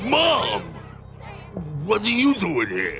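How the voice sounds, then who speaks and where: With clear music in the background, a man performs a cartoonish character voice. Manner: sarcastic, grumbling.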